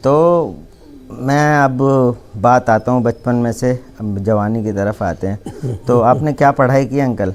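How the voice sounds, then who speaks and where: A man's normal speaking voice at medium pitch with ordinary pitch variation. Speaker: interviewer, channel host. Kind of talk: interview questions, casual talk to camera.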